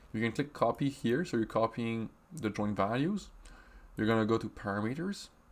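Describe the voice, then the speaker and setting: In a very clean recording with a silent background, a man speaks with a French accent and ordinary pitch variation. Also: medium pitch for a man, moderate pace. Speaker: software trainer. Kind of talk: tutorial. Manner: halting, with many fillers.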